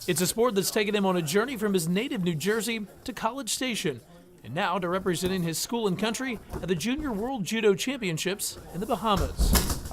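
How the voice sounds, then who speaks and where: A man with a high pitch and lively intonation talks at a fairly quick pace over noticeable background noise. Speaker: sports reporter and anchor. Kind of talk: TV sports news reporting and anchoring.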